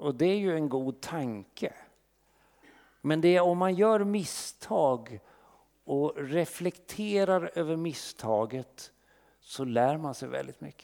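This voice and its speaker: Very slowly, a man speaks with a fairly high pitch, lively intonation and a dark, mellow tone. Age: 60s. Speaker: pastor. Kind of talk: sermon.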